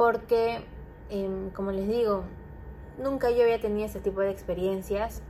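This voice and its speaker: The voice has a dark, mellow tone, moving at a fairly slow pace with fairly even intonation. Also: woman. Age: 20s. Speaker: podcaster. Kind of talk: casual monologue.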